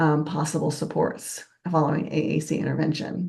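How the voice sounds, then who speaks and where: The voice has a dark, mellow tone with vocal fry and fairly even intonation. It moves at a moderate pace over a quiet background. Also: woman. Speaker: professor. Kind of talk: lecture. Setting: online conference talk.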